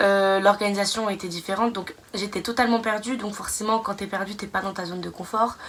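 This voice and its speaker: Speaking at a fairly quick pace, a woman with a slight Belgian accent keeps a medium pitch and fairly even intonation. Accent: slight Belgian accent picked up. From France. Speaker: nursing student vlogger. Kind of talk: casual vlog monologue. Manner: hesitant, many fillers.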